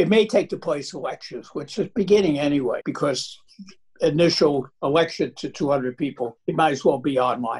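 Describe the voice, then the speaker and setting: In an American accent, a man speaks at a moderate pace with a somewhat breathy voice. His pitch is fairly high, with ordinary variation. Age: 80s+. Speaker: computer scientist, professor. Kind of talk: interview answer.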